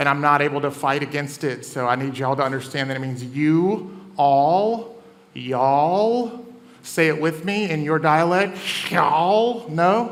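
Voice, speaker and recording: Audible room echo and noticeable background noise surround a man talking at a fairly slow pace. His fairly high voice has lively intonation. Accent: American. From US South. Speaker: comedian and event host. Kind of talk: stand-up hosting. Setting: stage with audience.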